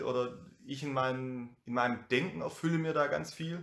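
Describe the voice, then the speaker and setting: A man with an ordinary speaking voice, ordinary pitch variation and a fairly slow pace. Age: 30s. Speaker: youth worker and DJ. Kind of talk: casual conversation.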